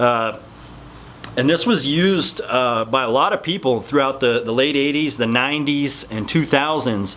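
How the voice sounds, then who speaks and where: Mumbling at a moderate pace, a man speaks in a medium pitch with ordinary pitch variation over noticeable background noise. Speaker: fitness supplement youtuber. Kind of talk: casual talking-head explainer video.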